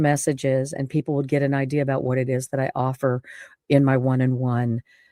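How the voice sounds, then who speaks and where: Very deep and low-pitched, a woman's voice comes through in a very clean recording with a silent background and a dry, close sound with no echo. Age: 60s. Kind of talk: personal testimony monologue. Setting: home studio. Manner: halting, many fillers and restarts.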